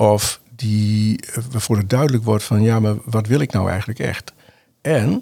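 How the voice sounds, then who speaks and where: Speaking at a medium pitch with ordinary pitch variation, a man sounds somewhat breathy and dark and mellow in tone. His pace is fairly slow. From northern Netherlands, Groningen. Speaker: NLP trainer and coach. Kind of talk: interview conversation. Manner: halting with many fillers.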